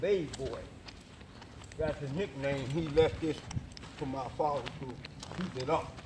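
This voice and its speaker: Noticeable background noise and audible room echo surround a man with a fairly high pitch. He talks at a fairly slow pace with fairly even intonation and long, frequent pauses. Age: 60s. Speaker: family member interviewed in documentary. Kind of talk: casual chat.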